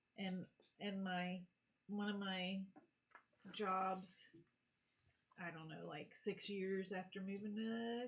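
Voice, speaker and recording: A woman speaks at a very slow pace with a somewhat breathy, medium-pitched voice and an American accent. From North Carolina. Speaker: co-host. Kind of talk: casual chat.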